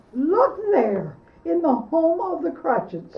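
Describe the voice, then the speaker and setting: This female-sounding voice is a put-on character voice pitched extremely high, delivered at a fairly slow pace. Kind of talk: comic overacting. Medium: stage play.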